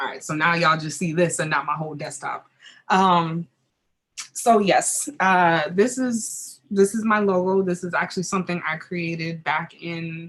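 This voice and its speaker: With a normal speaking voice, a woman talks at a moderate pace in a fairly low pitch. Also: ordinary pitch variation. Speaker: content creator. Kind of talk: online workshop presentation. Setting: live stream.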